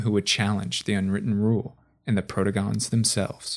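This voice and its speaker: Delivered in a dramatic tone at a fairly quick pace, a man's voice comes through in a very clean recording with a silent background. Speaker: lore video narrator. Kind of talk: scripted fantasy lore narration. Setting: video voiceover. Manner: dramatic, formal, measured storyteller delivery.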